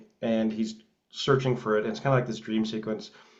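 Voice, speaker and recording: A man speaks with fairly even intonation, and audible echo fills the room. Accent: Canadian. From Canada, Edmonton, Alberta. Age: 30s. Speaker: film writer and director. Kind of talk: interview. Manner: halting, many fillers.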